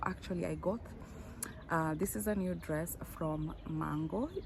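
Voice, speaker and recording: A woman talks at a fairly slow pace while noticeable background noise continues behind her. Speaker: fashion vlogger. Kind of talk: unboxing vlog. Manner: animated.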